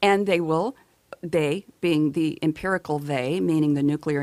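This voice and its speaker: This woman has a very deep, low pitch. Her voice sounds dry and close, with no echo. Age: 60s. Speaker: documentary filmmaker. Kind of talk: radio interview. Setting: radio studio.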